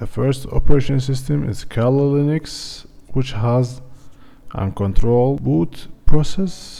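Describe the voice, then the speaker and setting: Speaking at a fairly slow pace with a non-native accent, a man has a medium pitch, a dark, mellow tone and ordinary pitch variation. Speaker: tech tutorial youtuber. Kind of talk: tutorial.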